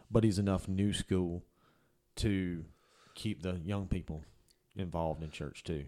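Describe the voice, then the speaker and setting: A man speaks at a fairly slow pace in a very deep, low voice with a dark, mellow tone, fairly even intonation, and long, frequent pauses. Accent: Southern US. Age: 30s. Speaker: podcast producer. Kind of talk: casual chat. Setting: studio.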